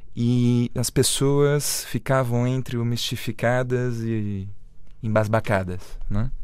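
Speaking very slowly with fairly even intonation, a man with a medium pitch is heard amid audible room echo. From Brazil. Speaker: radio host. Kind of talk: interview. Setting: studio.

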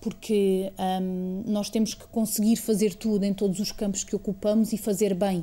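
A woman's somewhat breathy, dark and mellow voice at medium pitch, in a flat monotone. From Portugal, Alentejo (Estremoz). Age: 30s. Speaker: museum director, former member of parliament. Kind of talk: interview. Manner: halting, with frequent fillers.

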